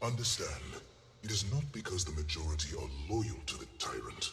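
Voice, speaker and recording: A man puts on a character voice, with clear background noise and clear echo around him. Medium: video game. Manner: formal, measured.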